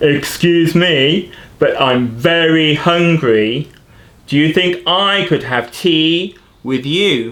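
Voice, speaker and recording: Very slow, fairly high-pitched speech from a man doing a put-on character voice. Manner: polite, hungry.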